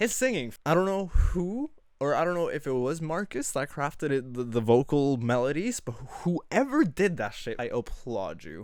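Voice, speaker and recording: Animated in tone, a man speaks at a moderate pace with very wide pitch swings on a very clean recording with a silent background. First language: not English. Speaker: music reaction youtuber. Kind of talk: casual music review monologue. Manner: halting.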